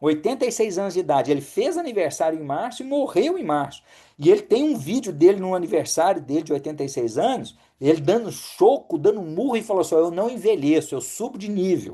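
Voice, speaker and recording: Over a quiet background, a man with a Minas Gerais accent talks at a fairly quick pace in a high-pitched, dark, mellow voice with very wide pitch swings. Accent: mineiro Brazilian Portuguese. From Brazil, Belo Horizonte (Minas Gerais). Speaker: physician (geriatrics, functional medicine). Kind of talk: webinar talk.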